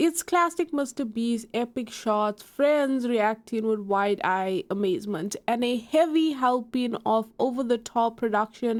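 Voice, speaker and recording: A woman's fairly high voice at a fairly slow pace, with lively intonation. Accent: South African. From South Africa. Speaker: YouTube commentator. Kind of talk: online drama commentary. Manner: animated.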